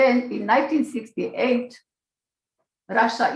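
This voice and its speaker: A woman with vocal fry talks at a moderate pace and a fairly high pitch. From Slovakia. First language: Slovak. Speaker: Holocaust-era survivor and immigrant. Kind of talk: testimony. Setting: video call.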